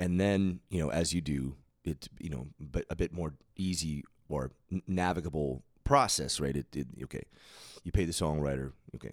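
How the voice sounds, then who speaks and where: A man talks at a moderate pace. His pitch is very deep and low, with ordinary pitch variation. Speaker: podcast host, musician. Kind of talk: casual chat. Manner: halting, many fillers and repeats.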